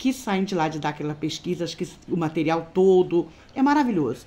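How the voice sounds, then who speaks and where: A woman's voice with a dark, mellow tone. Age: 50s. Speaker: beauty vlogger. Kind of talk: casual vlog monologue. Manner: animated. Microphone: phone near.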